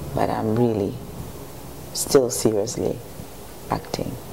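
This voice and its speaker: The woman's voice carries audible room echo over noticeable background noise. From Ghana, Accra. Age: 50s. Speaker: actress. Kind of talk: TV interview. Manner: hesitant, many fillers.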